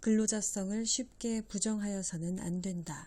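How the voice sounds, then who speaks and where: A woman's medium-pitched, somewhat breathy voice with a dark, mellow tone, fairly even intonation and a fairly slow pace. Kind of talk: legal text read-aloud.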